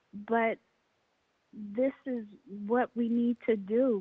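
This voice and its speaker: A woman speaks very slowly in a high pitch. Her intonation stays monotone and flat. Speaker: caller. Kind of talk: call-in comment. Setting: phone call. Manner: slow, halting after a stroke.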